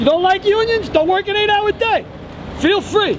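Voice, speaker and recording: A man with a New York accent talks at a fairly quick pace in an extremely high pitch. Noticeable noise sits in the background. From New York City, the Bronx. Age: 60s. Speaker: retired firefighter. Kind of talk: street interview at a protest. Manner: animated.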